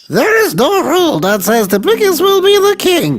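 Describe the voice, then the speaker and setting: A squeaky put-on character voice at a moderate pace. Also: man, extremely high pitch for a man. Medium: read story. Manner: calm.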